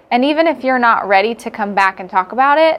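In an American accent, a woman speaks with a fairly high pitch and lively intonation. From Southern California. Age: 30s. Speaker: therapist. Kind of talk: interview.

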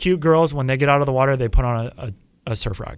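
An unremarkable speaking voice delivers its words with fairly even intonation. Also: man. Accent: American. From California, San Diego. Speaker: ocean content creator. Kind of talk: casual interview chat.

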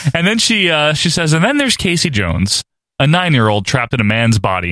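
A man talks at a fairly high pitch with very wide pitch swings and vocal fry. The sound is dry and close with no echo, and the background is silent and very clean. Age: 30s. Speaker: podcast host. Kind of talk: casual chat.

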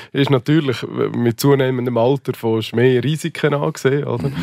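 Dry and close with no echo, a man's dark, mellow voice moves at a moderate pace with fairly even intonation. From Central Switzerland. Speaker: hotelier. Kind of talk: interview conversation.

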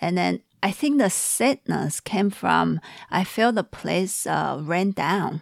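In a very clean recording with a silent background, a woman with vocal fry speaks at a very slow pace and medium pitch, the sound dry and close with no echo. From Taiwan. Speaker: podcast host, tea enthusiast. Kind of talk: casual chat.

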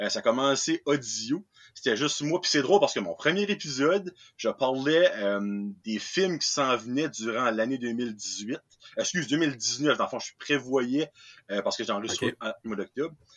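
A man with an Acadian accent speaks at a moderate pace and a fairly high pitch. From New Brunswick, Acadian. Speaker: podcast host. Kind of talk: casual chat.

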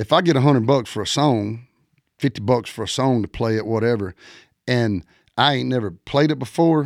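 In a Southern US accent, a man talks at a fairly quick pace and medium pitch, with ordinary pitch variation. The recording is very clean, dry and close, with a silent background and no echo. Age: 50s. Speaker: country music singer. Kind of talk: casual chat. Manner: animated.

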